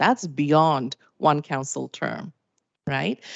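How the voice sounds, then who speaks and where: In a non-native accent, a woman speaks with a very deep, low pitch. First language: not English. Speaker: municipal finance presenter. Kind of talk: presentation to council.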